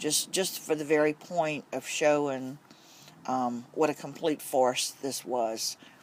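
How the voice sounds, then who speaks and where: A man speaks at a very slow pace, his fairly high voice held to a fairly even intonation. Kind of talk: casual talk to camera. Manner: frustrated.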